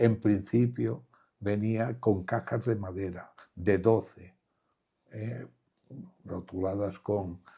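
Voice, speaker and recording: Speaking at a very slow pace with long, frequent pauses, a man uses a fairly low, somewhat breathy voice with a dark, mellow tone and ordinary pitch variation. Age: 80s+. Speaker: war survivor. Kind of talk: interview answer.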